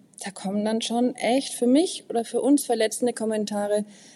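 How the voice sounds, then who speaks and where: A woman's fairly high voice carries a dark, mellow tone at a moderate pace. The recording is very clean, with a silent background. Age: 40s. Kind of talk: interview conversation.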